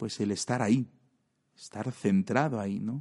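Recorded dry and close with no echo over a quiet background, a man's dark, mellow voice moves with lively intonation. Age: 40s. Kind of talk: podcast monologue.

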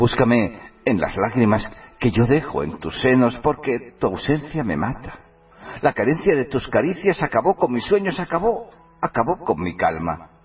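Very wide pitch swings from a man at a medium pitch, a fairly slow pace, music in the background. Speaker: radio host. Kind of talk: poetry declamation of romantic, sensual verse, read dramatically. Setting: online radio studio.

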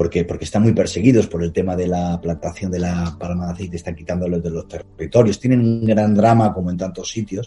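Fairly quick and somewhat breathy, a man's very deep, low voice has a dark, mellow tone and fairly even intonation. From Spain, Palencia. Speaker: travel documentary filmmaker. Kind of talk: interview.

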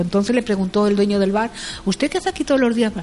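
Animated in tone, a woman speaks at medium pitch. Noticeable background noise can be heard. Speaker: news curiosities contributor. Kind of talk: casual chat.

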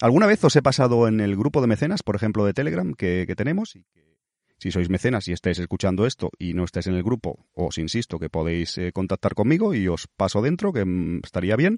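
A man with a fairly low pitch talks at a fairly quick pace with lively intonation, hardly any pauses and big swings in loudness. The sound is dry and close with no echo over a quiet background. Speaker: podcast host. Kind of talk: casual monologue. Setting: airport.

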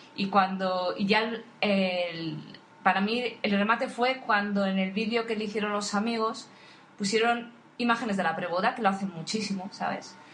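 A woman speaks at a medium pitch and a moderate pace, her intonation fairly even. Room echo can be heard. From Spain, Asturias (Oviedo). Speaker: podcast co-host, wedding photographer. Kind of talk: casual chat.

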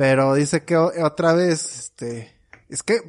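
With a Mexican accent and a fairly high voice, the man sounds dry and close, with no echo. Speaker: podcast co-host. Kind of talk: casual chat.

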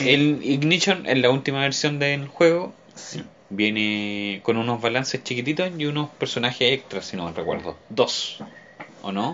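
This man speaks with a Chilean accent. His intonation is lively. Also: medium pitch for a man, fairly slow pace. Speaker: podcast co-host. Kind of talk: casual chat.

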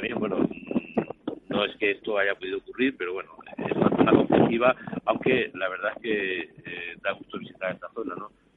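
The speaker talks at a fairly quick pace with fairly even intonation over noticeable background noise. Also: man. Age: 50s. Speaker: photojournalist. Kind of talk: interview.

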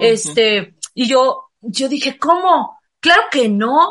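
Bright and sharp in tone, a woman's high voice moves with lively intonation. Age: 50s. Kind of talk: casual chat.

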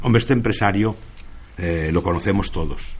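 Speaking at a very fast pace, a man uses a fairly low pitch with ordinary variation. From Spain, El Bierzo (León). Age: 50s. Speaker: former miner and union leader. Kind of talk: radio interview.

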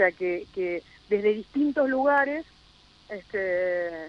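This woman speaks at a medium pitch with ordinary pitch variation in an ordinary speaking voice. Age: 40s. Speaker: local politician. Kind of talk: radio interview.

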